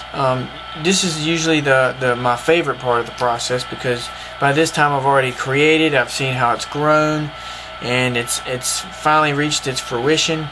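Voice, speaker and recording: Over music in the background, a man with a Southern US accent speaks at a fairly high pitch and moderate pace with fairly even intonation. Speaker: cartoonist. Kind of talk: casual art tutorial to camera.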